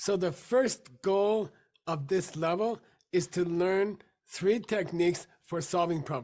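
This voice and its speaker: The delivery comes at a very slow pace with long, frequent pauses, in a very clean recording with a silent background. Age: 60s. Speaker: meditation teacher. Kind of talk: lecture.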